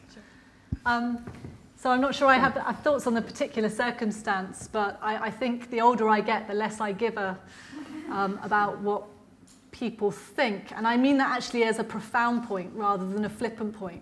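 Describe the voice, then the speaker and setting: Moderate pace and fairly even intonation, with audible room echo. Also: woman, fairly high pitch for a woman. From Ireland. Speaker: lecturer, politician. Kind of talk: lecture Q&A answer.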